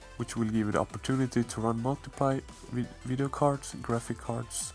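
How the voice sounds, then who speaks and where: Music plays in the background as a man talks at a fairly quick pace. His medium-pitched voice keeps a fairly even intonation. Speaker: PC case modder. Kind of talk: casual tutorial talk to camera.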